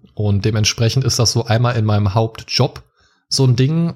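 Somewhat breathy and dark, mellow in tone, a man's medium-pitched voice moves at a fairly quick pace with fairly even intonation. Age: 30s. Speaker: podcaster and childcare educator. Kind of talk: casual interview.

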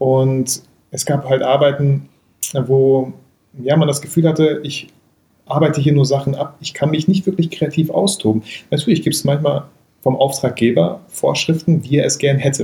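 This man keeps a moderate pace. Long pauses come often in his speech. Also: fairly high pitch for a man. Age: 30s. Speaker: photographer and YouTuber. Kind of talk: casual chat. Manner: animated.

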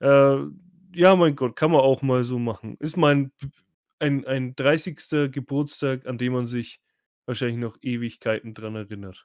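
A man speaks at a fairly slow pace, medium in pitch with ordinary pitch variation. The sound is dry and close with no echo, on a very clean recording over a silent background. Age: 30s. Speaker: podcast host. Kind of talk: casual chat. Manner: loud. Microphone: too close to the mic; new PC recording.

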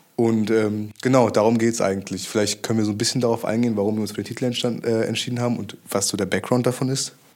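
Hardly pausing, a man rushes along at a very fast pace, medium in pitch and monotone, flat in intonation. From Germany, small suburb. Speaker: podcast co-host. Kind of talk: casual chat.

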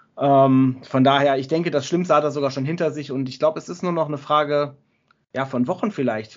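A man talks at a fairly quick pace. His pitch is fairly high and his intonation fairly even. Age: 30s. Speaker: wrestling podcast co-host. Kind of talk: casual chat. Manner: halting.

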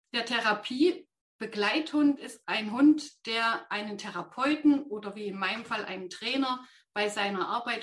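A woman with a plain, everyday voice talks at a fairly slow pace, her fairly high pitch moving with ordinary variation. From Thuringia, near Jena. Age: 50s. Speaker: ADHD trainer with therapy dog. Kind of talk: interview.

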